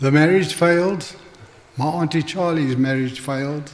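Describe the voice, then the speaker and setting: With a southern African accent, a man talks at a fairly slow pace in a fairly high voice with fairly even intonation. Audible room echo and noticeable background noise are present. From Northern Rhodesia and South Africa. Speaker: church member giving testimony. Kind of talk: testimony sermon. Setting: church.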